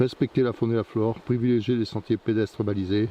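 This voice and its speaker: His delivery moves along fairly quickly. The man's intonation stays flat and monotone. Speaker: hiking vlogger. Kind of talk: walking vlog narration. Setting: outdoors on a forest trail. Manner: halting, repeats words.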